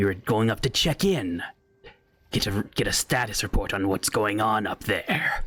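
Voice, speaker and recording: A man speaks at a medium pitch while doing a put-on character voice. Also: moderate pace. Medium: actual play. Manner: guarded, evasive, mocking.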